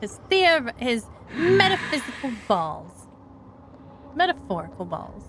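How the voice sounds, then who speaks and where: Over noticeable background noise, a woman with an American accent and a high voice speaks at a very slow pace, with very wide pitch swings and long, frequent pauses. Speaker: VTuber streamer. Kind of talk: casual game stream commentary. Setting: live stream.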